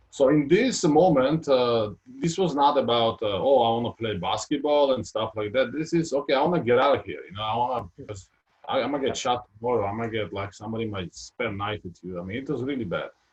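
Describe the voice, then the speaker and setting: Talking very fast, a man uses a medium pitch, a somewhat breathy voice and lively intonation. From Georgia (former Soviet Union). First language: Georgian or Russian. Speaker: retired basketball player. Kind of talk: interview. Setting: live video stream. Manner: halting, many fillers.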